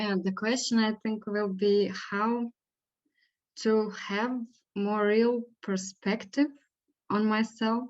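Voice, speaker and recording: In a non-native accent, a woman speaks at a very slow pace in a monotone, flat intonation, with long, frequent pauses. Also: fairly high pitch for a woman. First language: not English. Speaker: spiritual session participant. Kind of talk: spiritual guidance dialogue. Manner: halting, hesitant.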